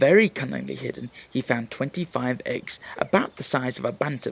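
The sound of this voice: The reading voice sounds unforced. Lively intonation runs through it.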